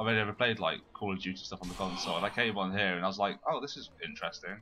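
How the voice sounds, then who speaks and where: With music in the background, a man with a British accent talks at a very fast pace. His pitch is fairly low and his intonation fairly even. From Britain. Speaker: gaming channel host. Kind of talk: casual gaming chat.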